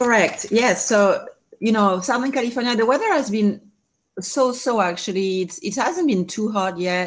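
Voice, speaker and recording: A woman with a French accent speaks at a fairly high pitch with lively intonation on a very clean recording with a silent background. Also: moderate pace. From France. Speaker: life coach and cancer survivor. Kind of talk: interview.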